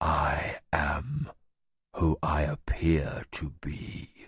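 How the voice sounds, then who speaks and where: A man's quiet, growling whisper in a put-on character voice at a very slow pace. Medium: read story. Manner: quiet, cold, menacing.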